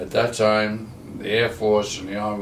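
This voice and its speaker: A man with an American accent and a fairly low pitch speaks at a moderate pace, with audible room echo and noticeable background noise. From New Jersey, US. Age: 90s. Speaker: war veteran. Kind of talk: life story interview. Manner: halting.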